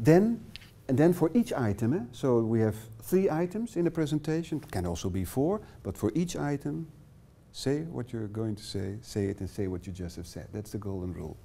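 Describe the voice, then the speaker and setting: In a Dutch accent, a man of medium pitch and a dark, mellow tone talks at a moderate pace, with very wide pitch swings and big swings in loudness. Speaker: workshop trainer. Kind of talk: lecture. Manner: halting.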